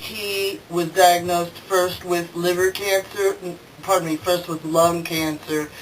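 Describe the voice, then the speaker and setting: Noticeable background noise is present. The words come at a fairly slow pace. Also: woman. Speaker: interviewer. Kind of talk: video introduction and interview questions.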